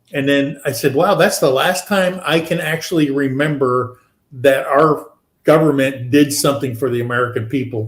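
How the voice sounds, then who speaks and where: Fairly high male voice, a bit airy, medium tempo, typical rise and fall in pitch. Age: 60s. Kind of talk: casual chat.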